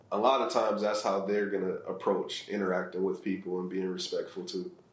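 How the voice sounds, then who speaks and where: With an American accent, a man speaks at a fairly quick pace amid audible room echo. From US Midwest, Ohio (Akron inner city). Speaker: real estate investor and charity founder. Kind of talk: interview.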